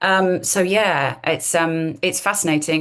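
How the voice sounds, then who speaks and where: A woman's fairly low voice in an RP accent. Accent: modern RP, posh English. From London area, England. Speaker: accent coach and actress. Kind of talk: podcast interview.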